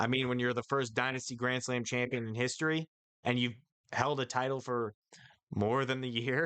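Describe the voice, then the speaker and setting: At a moderate pace, a man speaks at medium pitch with a bright, sharp tone and very even loudness. His intonation is monotone and flat, and the sound is dry and close with no echo. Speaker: wrestling awards host. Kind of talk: awards ceremony announcing. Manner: casual, halting.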